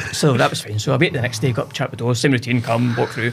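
Noticeable background noise accompanies a man speaking in a Scottish central belt accent with fairly even intonation. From Scotland, Cumbernauld. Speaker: business owner, entrepreneur. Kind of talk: casual interview chat. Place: studio. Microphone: studio mic.

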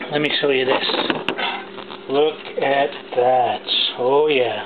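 Faint background noise sits behind a man's voice. He speaks at a medium pitch with fairly even intonation.

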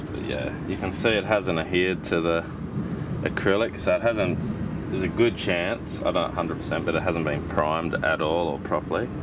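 A man talks over loud background noise. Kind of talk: tutorial. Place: boat.

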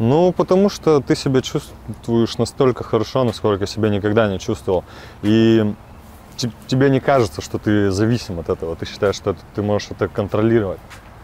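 A man with a medium-pitched voice speaks at a fairly quick pace and with lively intonation, the sound dry with no echo and a light background noise. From Chelyabinsk, Russia. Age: young. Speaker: recovering drug addict in rehabilitation. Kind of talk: interview answer. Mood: sober, regretful. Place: waterside. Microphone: lapel.

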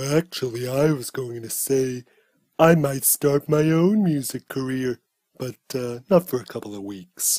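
At a moderate pace, a man performs a cartoonish character voice at medium pitch. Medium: puppet show. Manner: smug, camp, theatrical.

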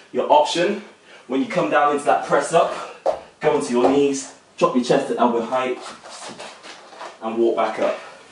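A man's voice, with ordinary pitch variation, carries audible room echo and noticeable background noise. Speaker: fitness instructor. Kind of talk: tutorial. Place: home room. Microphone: camera far.

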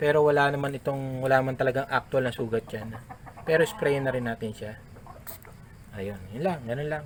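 Very rapid male speech with noticeable noise in the background. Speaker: gamefowl breeder vlogger. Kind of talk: tutorial. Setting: outdoors at a poultry pen. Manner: halting, many fillers.

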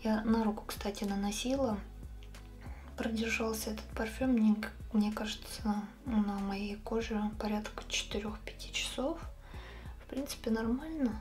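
The speech moves at a very slow pace, with long, frequent pauses and fairly even intonation. Faint music plays in the background. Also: woman. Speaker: beauty vlogger. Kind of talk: casual vlog chat. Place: home room. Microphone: phone near.

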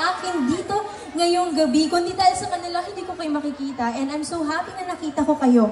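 Crowd noise fills the background as a woman speaks. Room echo is audible. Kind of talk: stage thank-you speech. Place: stage. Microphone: pa.

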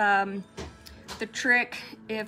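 A woman with a fairly high pitch speaks in a relaxed tone with ordinary pitch variation, while faint music plays in the background. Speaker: nail polish livestream host. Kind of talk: casual live chat while swatching nail polish. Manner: chatty, relaxed. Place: shop. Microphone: phone near.

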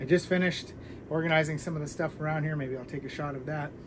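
Amid noticeable background noise, a man speaks with fairly even intonation. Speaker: book channel host. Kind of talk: casual vlog chat. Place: home room. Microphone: camera far.

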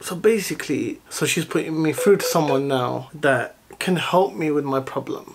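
The speech moves at a moderate pace with hardly any pauses, over noticeable background noise. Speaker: parent vlogger. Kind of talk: casual vlog chat. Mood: annoyed, complaining. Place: home room. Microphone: phone near.

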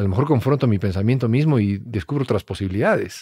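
A man with a dark, mellow tone talks at a very fast pace, somewhat breathy, with ordinary pitch variation, in a dry sound with no echo and a quiet background. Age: 40s. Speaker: actor. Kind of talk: casual chat. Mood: reflective, thoughtful. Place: studio. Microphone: studio mic.

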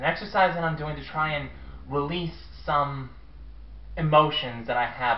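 Audible room echo surrounds a man as he talks. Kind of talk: scripted comedic monologue. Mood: sheepish, embarrassed. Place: home room. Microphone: webcam.

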